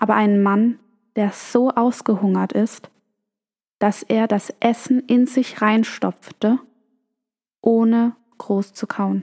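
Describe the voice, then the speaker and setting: Fairly even intonation in a dry, close sound with no echo. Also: woman. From Germany. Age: 20s. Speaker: podcast host. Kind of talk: storytelling monologue.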